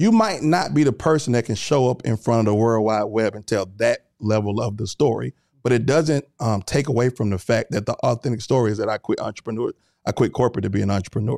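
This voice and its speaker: A man's dark, mellow voice at medium pitch, delivered at a very fast pace with ordinary pitch variation. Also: dry, close sound with no echo, very clean recording, silent background. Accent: Southern US. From US South. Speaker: entrepreneur and content creator. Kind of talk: casual chat.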